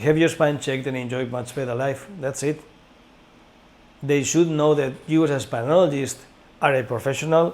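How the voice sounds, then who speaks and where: Long, frequent pauses break up a moderate pace with fairly even intonation. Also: man, fairly high pitch for a man. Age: 60s. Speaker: director of a training school. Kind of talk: informational course presentation. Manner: halting.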